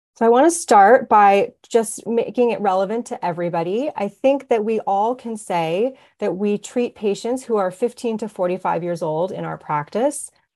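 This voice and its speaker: A woman's fairly high voice with a dark, mellow tone, lively intonation, a moderate pace, hardly any pauses and a quiet background. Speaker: physician. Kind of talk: lecture. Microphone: webcam.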